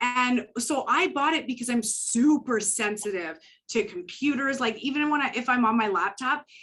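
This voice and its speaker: A woman speaks in a Canadian accent with a normal speaking voice. Her pitch is fairly high, the pace moderate and the intonation lively. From Canada. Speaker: psychic medium. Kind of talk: interview.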